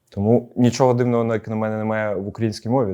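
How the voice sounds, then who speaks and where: The recording is very clean with a silent background, carrying a dark, mellow tone. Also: man. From Ukraine, Odesa. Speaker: football coach. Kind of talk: interview.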